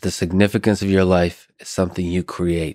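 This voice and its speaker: Against a quiet background, a man with a very deep, low pitch talks at a fairly quick pace in a dry sound with no echo. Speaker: podcast host. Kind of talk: podcast intro monologue. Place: studio. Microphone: studio mic.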